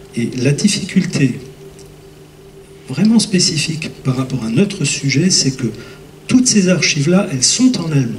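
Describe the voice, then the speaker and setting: Amid noticeable background noise and audible room echo, a man talks at a fairly slow pace with long, frequent pauses, his fairly high pitch moving in very wide swings. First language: Lorraine Franconian dialect (speaking French). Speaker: pastor and lecturer. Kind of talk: conference Q&A. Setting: conference hall with audience. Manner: hesitant, many fillers.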